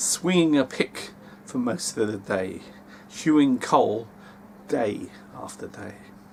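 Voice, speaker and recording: A man speaks at medium pitch and a fairly slow pace. Noticeable background noise runs underneath. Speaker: amateur audiobook reader. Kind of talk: memoir reading.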